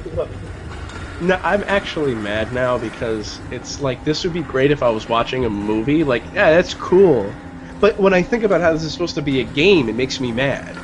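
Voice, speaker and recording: A man's fairly high voice moves at a moderate pace through very wide pitch swings, with noticeable background noise behind it. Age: 30s. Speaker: gaming show co-host. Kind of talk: casual chat.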